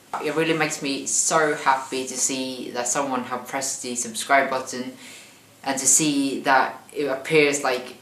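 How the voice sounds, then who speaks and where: Speaking at a fairly slow pace, a man is heard through audible room echo and noticeable background noise. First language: not English. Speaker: vlogger. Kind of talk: cooking tutorial vlog. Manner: hesitant, with fillers and repetitions.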